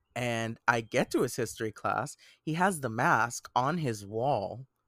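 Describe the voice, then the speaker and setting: A man speaks with lively intonation in a dry, close recording with no echo, very clean and against a silent background. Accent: Puerto Rican. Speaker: podcast co-host. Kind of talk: casual chat.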